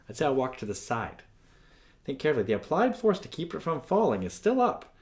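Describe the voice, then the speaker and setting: A man speaks with very wide pitch swings. Audible room echo is present. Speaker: physics teacher. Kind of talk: lecture. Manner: fast.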